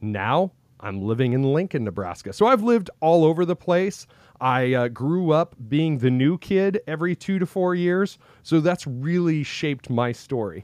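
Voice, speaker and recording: At a moderate pace, a man with an American accent speaks at fairly high pitch with very wide pitch swings. The sound is dry and close with no echo, over a quiet background. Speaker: podcaster and former band musician. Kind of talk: casual interview. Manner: natural, not forced.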